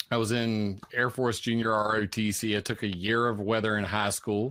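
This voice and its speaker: Drawling in a strong Southern US accent, a man speaks with a fairly low pitch and monotone, flat intonation in a dry, close sound with no echo on a very clean recording with a silent background. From US South, South Carolina. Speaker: climate and weather researcher. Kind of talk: interview. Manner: slurred Southern drawl.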